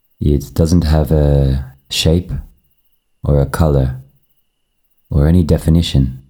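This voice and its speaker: Very deep and low in pitch, a man speaks in a calm, soothing, dark, mellow tone at a fairly slow pace, with monotone, flat intonation, very even loudness and long, frequent pauses. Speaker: meditation guide. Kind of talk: guided meditation. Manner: slow, calm, soothing; long pauses, gentle, unhurried.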